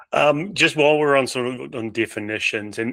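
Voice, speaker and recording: A man with a New Zealand accent at a fairly quick pace in a very clean recording with a silent background. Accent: New Zealand, similar to Australian. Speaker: podcast host. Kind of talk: podcast interview.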